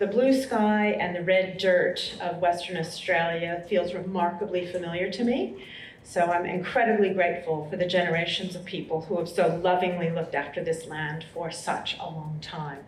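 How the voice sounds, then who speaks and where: A woman with an American accent talks at a moderate pace with ordinary pitch variation and hardly any pauses. Audible room echo and noticeable background noise fill the recording. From US, Colorado. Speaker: university vice-chancellor. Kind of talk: welcome speech. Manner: formal.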